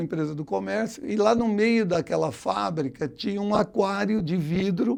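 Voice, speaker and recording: The man's pitch sits high. He talks at a middling speed. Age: 60s. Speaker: economist and former professor, writer. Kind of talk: interview. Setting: studio. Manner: halting, many false starts.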